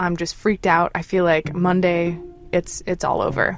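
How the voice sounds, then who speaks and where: Over music in the background, someone speaks with an American accent at a moderate pace. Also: woman. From United States. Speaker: caller telling a personal story. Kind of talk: personal storytelling.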